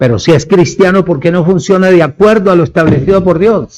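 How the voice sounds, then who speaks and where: This man's voice sits high in pitch. He speaks at a fairly slow pace. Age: 70s. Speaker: preacher. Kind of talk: sermon.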